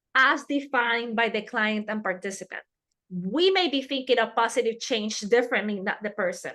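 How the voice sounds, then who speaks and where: A woman with a Spanish accent talks at a moderate pace, her high-pitched voice bright and sharp in tone with lively intonation. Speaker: harm reduction trainer. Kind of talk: webinar lecture.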